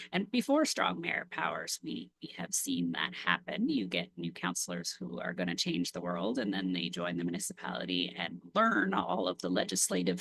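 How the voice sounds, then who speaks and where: A quiet voice with a Canadian accent speaks at a moderate pace. Background noise is noticeable. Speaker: council member or municipal official. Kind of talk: council committee meeting discussion. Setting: municipal committee meeting.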